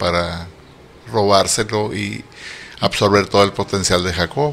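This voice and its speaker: A man's voice with noticeable background noise. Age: 70s. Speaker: metaphysician and astrologer. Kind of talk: casual interview.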